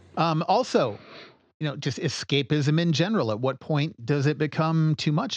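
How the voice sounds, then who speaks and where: An unremarkable speaking voice with lively intonation, delivered at a moderate pace over a quiet background. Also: man. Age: 40s. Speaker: podcast host. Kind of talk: casual chat.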